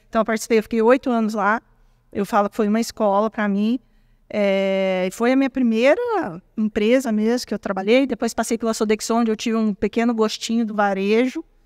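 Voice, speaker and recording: A woman talks at a fairly quick pace and a fairly high pitch. The sound is dry and close, with no echo. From Brazil, Minas Gerais (small town). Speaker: tech executive. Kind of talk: interview. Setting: at an event. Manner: animated.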